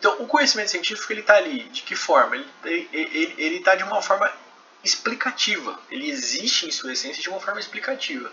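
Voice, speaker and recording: A man's extremely high-pitched voice with a Brazilian accent, very wide pitch swings and a fairly quick pace, over noticeable background noise. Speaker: professor. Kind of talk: lecture. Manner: conversational, frequent filler 'né'.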